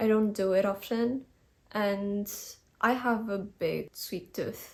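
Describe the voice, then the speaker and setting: A woman of medium pitch with a non-native accent speaks in fairly even intonation, captured in a very clean recording with a silent background. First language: not English. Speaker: lifestyle vlogger. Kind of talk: casual vlog talk. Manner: relaxed, conversational.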